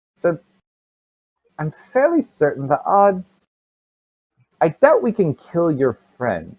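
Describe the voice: Putting on a character voice, a man speaks slowly at a fairly high pitch with very wide pitch swings and a slightly husky edge, in a dry, close sound with no echo.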